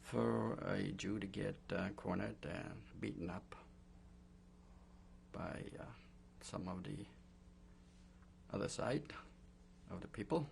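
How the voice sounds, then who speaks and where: A man's very deep, low pitch with vocal fry and very wide pitch swings, at a very slow pace full of long, frequent pauses. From Poland. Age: 60s. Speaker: Holocaust survivor. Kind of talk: oral history interview. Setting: recorded interview. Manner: hesitant, many fillers.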